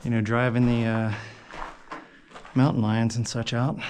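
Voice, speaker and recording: A man at medium pitch and a moderate pace, with audible room echo. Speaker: hiker and mine explorer vlogger. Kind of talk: solo vlog narration while exploring. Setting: inside a mine. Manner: casual, hesitant with fillers.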